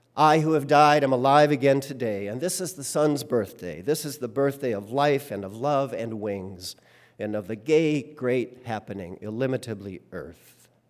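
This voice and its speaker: Using a normal speaking voice, a man at medium pitch talks at a moderate pace with lively intonation. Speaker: worship leader. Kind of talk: sermon; poetic reading aloud of a hymn text, devotional. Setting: church. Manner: measured, reverent, lyrical pacing; humorous, conversational, warm.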